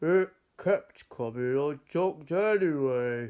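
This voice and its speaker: Pitched fairly high, a man's put-on character voice moves at a fairly slow pace. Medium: read story. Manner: cheerful, kindly.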